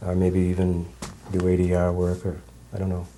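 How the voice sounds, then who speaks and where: A man talks at a moderate pace in a very deep, low pitch, with noticeable background noise around him. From New Hampshire. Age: 60s. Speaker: judge. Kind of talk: interview.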